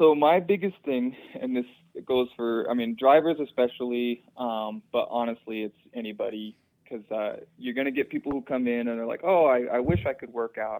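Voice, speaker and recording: A man with an American accent has a normal speaking voice at medium pitch. He keeps a moderate pace with ordinary pitch variation. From Utah, US. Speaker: personal trainer. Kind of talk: casual chat.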